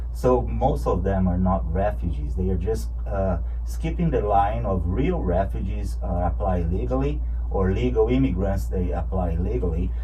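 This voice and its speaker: In a Brazilian Portuguese accent, a man with a very deep, low pitch talks at a moderate pace with fairly even intonation and very even loudness, amid audible room echo and noticeable background noise. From Brazil, rural ranch and São Paulo. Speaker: political candidate. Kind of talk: radio interview. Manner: halting, many fillers and repeats.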